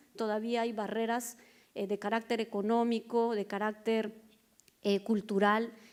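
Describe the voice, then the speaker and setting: A woman's fairly high voice, an unremarkable speaking voice, moves at a moderate pace. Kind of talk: panel talk.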